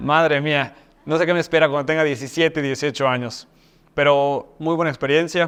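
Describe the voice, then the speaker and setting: A man's fairly high-pitched voice in a monotone, flat intonation. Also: moderate pace. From Mexico, Mexico City and Yucatán. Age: 30s. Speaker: university rector. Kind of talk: talk-style self introduction. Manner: hesitant fillers (eh).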